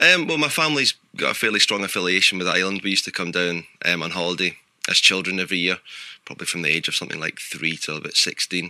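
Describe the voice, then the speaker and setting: Speaking at a very fast pace, a man with a slight Glaswegian accent has a very deep, low pitch, a bright, sharp tone and ordinary pitch variation. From Scotland, Glasgow. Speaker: photographer. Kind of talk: radio interview.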